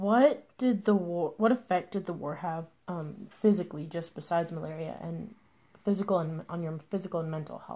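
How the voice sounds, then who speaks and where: This woman's fairly low, somewhat breathy voice has a dark, mellow tone, ordinary pitch variation and big swings in loudness. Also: moderate pace. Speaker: interviewer.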